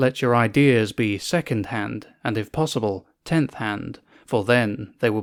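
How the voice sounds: Ordinary pitch variation runs through a natural reading voice here.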